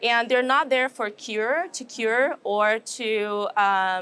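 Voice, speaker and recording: In a Brazilian accent, a woman with a fairly high pitch and bright, sharp tone is heard on a very clean recording with a silent background. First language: Portuguese. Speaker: animal nutrition professor. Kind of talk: interview. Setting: trade show.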